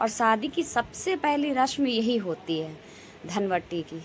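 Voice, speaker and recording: A woman talks very slowly, her intonation lively. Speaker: family vlogger. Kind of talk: vlog narration.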